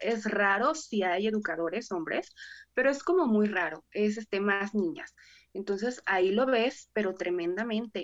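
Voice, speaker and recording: A woman's ordinary speaking voice, fairly slow and medium-pitched, with lively intonation. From Mexico, Salamanca, Guanajuato. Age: 20s. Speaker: preschool teacher. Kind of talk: casual chat.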